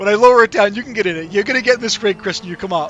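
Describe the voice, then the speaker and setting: Noticeable background noise surrounds a man with a Boston accent whose high voice makes very wide pitch swings. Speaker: sim racing YouTuber, rig builder. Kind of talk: live stream chat and Q&A. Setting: in a motion sim rig during a live stream. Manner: casual, chatty.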